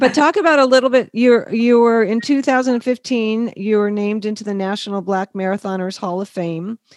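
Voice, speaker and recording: With a normal speaking voice, a woman talks at a moderate pace, her fairly high pitch showing ordinary variation in a dry, close sound with no echo. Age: 50s. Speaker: podcast interviewer, founder of a modeling agency for older people. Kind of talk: interview.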